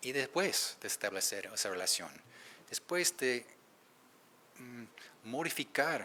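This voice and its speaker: With an English accent, a man speaks at a moderate pace. His pitch varies in an ordinary way. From United States. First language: English (speaking Spanish). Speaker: researcher, keynote speaker. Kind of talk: conference Q&A answer. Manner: halting, with self-corrections.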